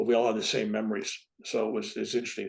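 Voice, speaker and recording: Very fast speech from a man, with a quiet background. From San Francisco, California. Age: 70s. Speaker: reverend and spiritual author. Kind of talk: interview storytelling.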